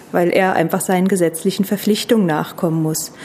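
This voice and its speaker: Over noticeable background noise, a woman talks at a fairly quick pace with a medium pitch and fairly even intonation. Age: 40s. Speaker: tax advisor. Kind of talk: expert interview.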